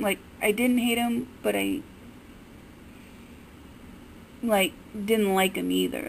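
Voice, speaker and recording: A woman's fairly even intonation over light background noise. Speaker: fan vlogger. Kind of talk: casual vlog commentary. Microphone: phone near.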